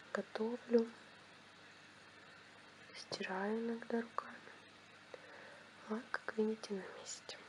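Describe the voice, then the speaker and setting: A soft-spoken woman with a fairly high pitch talks at a very slow pace in a monotone, flat intonation, leaving long, frequent pauses over noticeable background noise. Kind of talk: ASMR product review to camera. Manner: quiet, soft-spoken.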